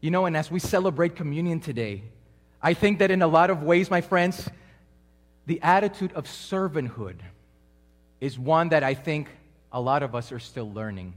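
A man talks at a moderate pace, stopping often for long pauses. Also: fairly high pitch for a man, lively intonation. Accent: Spanish. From Colombia. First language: Spanish. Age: 30s. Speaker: preacher. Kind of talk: sermon. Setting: church with congregation.

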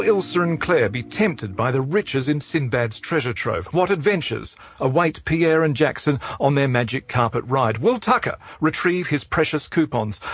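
The voice is somewhat breathy at a moderate pace. Its intonation is lively. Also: man, fairly high pitch for a man. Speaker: announcer narrator. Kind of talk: scripted narration. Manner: theatrical, arch, formal.

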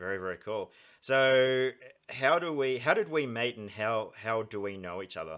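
A man's medium-pitched voice with an Australian accent, lively intonation, a moderate pace, and big swings in loudness. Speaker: podcast host. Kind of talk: casual interview.

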